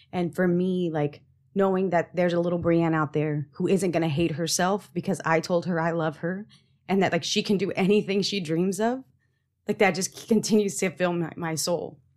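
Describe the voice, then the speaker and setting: A woman speaks at a moderate pace with an unremarkable speaking voice. Her pitch sits fairly low. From Texas. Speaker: engineer. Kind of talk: casual chat.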